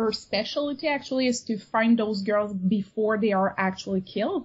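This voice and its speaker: A woman is talking here. Her voice is somewhat breathy. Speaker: amateur novelist and avid reader. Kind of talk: casual interview.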